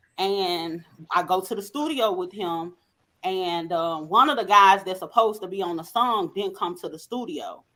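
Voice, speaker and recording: In a Southern accent, a woman with a bright, sharp tone talks at a moderate pace with ordinary pitch variation. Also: medium pitch for a woman, big swings in loudness. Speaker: podcast co-host. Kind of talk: casual chat.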